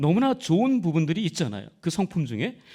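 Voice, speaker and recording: In a very clean recording with a silent background, a man speaks at a high pitch with very wide pitch swings. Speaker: pastor. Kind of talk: sermon. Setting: church. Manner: loud, forceful.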